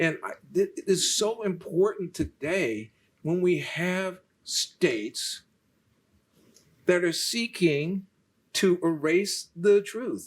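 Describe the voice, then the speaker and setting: A man's high voice with ordinary pitch variation, a very slow pace and long, frequent pauses. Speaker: foundation president and lecturer. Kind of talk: moderated public talk. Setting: lecture hall with live and online audience. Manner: halting, many fillers and repeats.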